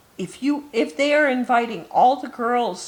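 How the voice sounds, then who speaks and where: Doing a put-on character voice, a woman speaks at a moderate pace in a high pitch. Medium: read story. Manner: shy.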